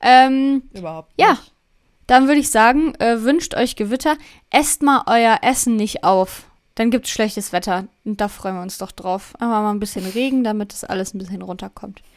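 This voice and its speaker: A woman with an ordinary speaking voice talks at a moderate pace, fairly high in pitch, with lively intonation. Her loudness swings a lot, and the recording is very clean with a silent background. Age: 20s. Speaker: podcast co-host. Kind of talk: casual chat. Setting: home studio with headphones.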